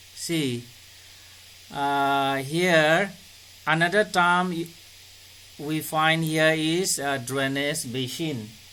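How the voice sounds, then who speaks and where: A man's fairly high-pitched voice at a very slow pace, with audible room echo. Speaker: school teacher. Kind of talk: online class lecture. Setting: video call.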